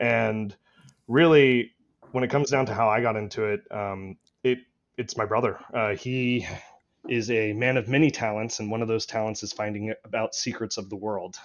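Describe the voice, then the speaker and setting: In an American accent, a normal speaking voice moves at a moderate pace with fairly even intonation. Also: man, medium pitch for a man. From Austin, Texas. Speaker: bitcoin advocate, policy task force member. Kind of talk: casual interview chat.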